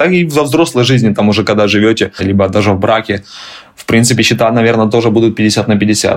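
Over noticeable background noise, a man speaks at a medium pitch. His pace is fairly quick and his intonation lively. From Ukraine. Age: 30s. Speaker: immigrant, tour guide. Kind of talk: interview, casual chat.

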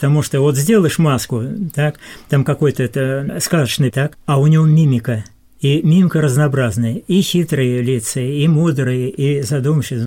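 A man's somewhat breathy voice, fairly high-pitched, with a dark, mellow tone, ordinary pitch variation and a moderate pace. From southern Russia, Khoper river area. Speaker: senior volunteer. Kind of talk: radio interview. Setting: studio.

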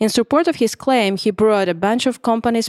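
A woman with a Russian accent speaks at a fairly quick pace with ordinary pitch variation. The recording is very clean, its background silent and its sound dry and close with no echo. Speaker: labor lawyer. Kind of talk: podcast panel discussion.

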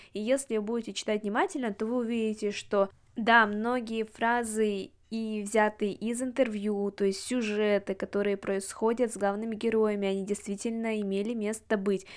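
A woman speaks at a moderate pace with a fairly high pitch and monotone, flat intonation. The recording is very clean, with a silent background. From Russia, Yekaterinburg. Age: 20s. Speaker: podcast host. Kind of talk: monologue book review.

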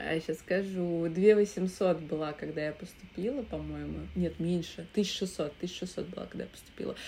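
Using ordinary pitch variation at a moderate pace, a woman with a fairly low pitch and a dark, mellow tone speaks with vocal fry. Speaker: theatre critic and director. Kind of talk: casual chat. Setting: remote recording.

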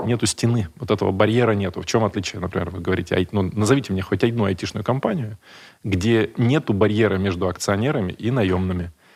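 The man's fairly low voice races along at a very fast pace. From Buryatia, Russia (village). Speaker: food company executive and space entrepreneur. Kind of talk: interview.

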